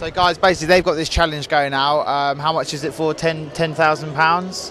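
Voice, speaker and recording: Over noticeable background noise, a man speaks fairly quickly in a fairly high, monotone, flat voice. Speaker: interviewer, channel host. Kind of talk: interview questions at an exhibition.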